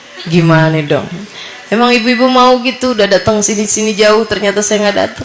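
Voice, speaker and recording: A woman with a fairly high pitch speaks at a fairly quick pace, with audible room echo and noticeable background noise. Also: ordinary pitch variation. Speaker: female Islamic preacher. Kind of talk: sermon to women's study group.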